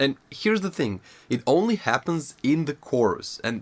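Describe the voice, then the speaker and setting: His pitch leaps across a very wide range as the man talks at a moderate pace. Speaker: music theory educator and metal musician. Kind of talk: tutorial. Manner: animated.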